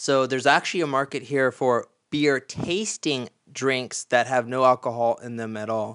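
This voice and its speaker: With an American accent, a man in an unremarkable speaking voice talks at a moderate pace and medium pitch, with ordinary pitch variation, in a dry, close sound with no echo against a quiet background. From Florida, US. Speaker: podcast host. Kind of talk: casual chat.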